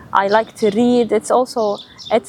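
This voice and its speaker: A woman speaks at a moderate pace in a monotone, flat way. Noticeable background noise runs underneath. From UAE, Ras Al Khaimah (Sudanese family). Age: 20s. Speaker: real estate consultant. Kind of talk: interview answers.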